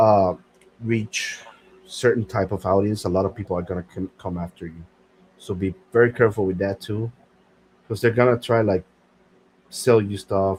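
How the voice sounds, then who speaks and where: A somewhat breathy man at a fairly low pitch, a moderate pace, and long, frequent pauses. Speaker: podcast host. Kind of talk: casual chat. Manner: halting.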